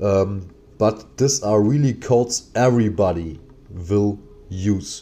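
A man speaks very slowly in a dark, mellow tone. His pitch sits fairly low and varies an ordinary amount. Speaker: gaming streamer. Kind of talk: livestream commentary. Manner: loud; animated.

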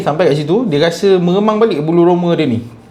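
Fairly quick and high-pitched, a man speaks with ordinary pitch variation. Audible room echo and noticeable background noise fill the recording. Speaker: YouTuber reacting to and reading horror stories. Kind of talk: casual reading aloud and commentary. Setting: night recording.

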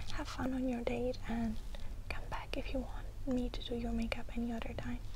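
A soft-spoken woman at a moderate pace over noticeable background noise. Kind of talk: role-play talk to camera. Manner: soft, close ASMR speaking voice. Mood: warm, reassuring. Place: home room. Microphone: lapel.

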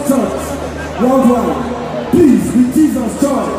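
Over background music and strong room echo, a man speaks at a very slow pace. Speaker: event host. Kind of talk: stage announcement. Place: stage.

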